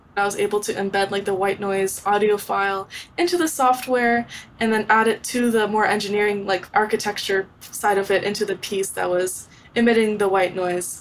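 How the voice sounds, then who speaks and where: At a moderate pace, a woman talks at medium pitch in an ordinary speaking voice. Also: fairly even intonation. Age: 20s. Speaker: young inventor and entrepreneur. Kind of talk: interview.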